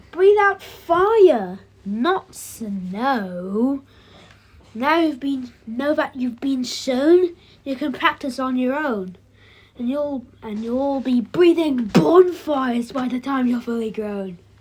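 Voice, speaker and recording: A woman uses a put-on character voice with a high pitch. She talks at a very slow pace. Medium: read story.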